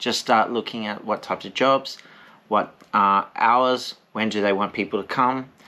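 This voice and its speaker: A man with an Australian accent speaks at a fairly slow pace and medium pitch. His tone is bright and sharp, his intonation fairly even. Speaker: English teacher and vlogger. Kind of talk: casual vlog with eating, advice.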